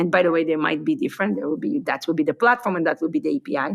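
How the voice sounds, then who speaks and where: A woman's fairly low voice comes through on a very clean recording with a silent background. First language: not English. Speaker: tech company founder. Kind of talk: podcast interview.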